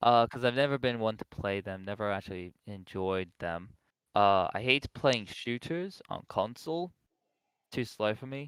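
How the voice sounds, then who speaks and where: A man with an American accent speaks at a moderate pace in an ordinary speaking voice, pitched fairly low with ordinary pitch variation. The sound is dry and close with no echo, a very clean recording with a silent background. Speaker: podcast guest answering chat questions. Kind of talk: casual chat.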